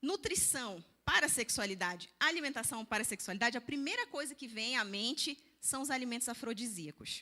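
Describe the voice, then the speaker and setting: A woman's high-pitched, animated voice, bright and sharp in tone, with lively intonation and a slight northern Brazilian accent. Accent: northern Brazilian (Pará), slight. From Brazil, Belém do Pará. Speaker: nutritionist and church speaker. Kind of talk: seminar talk.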